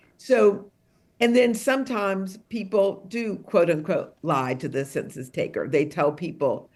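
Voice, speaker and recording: A woman talks at a fairly slow pace with lively intonation. She has a plain, everyday voice. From Detroit, US Midwest. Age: 60s. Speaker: author and songwriter. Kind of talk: book talk interview.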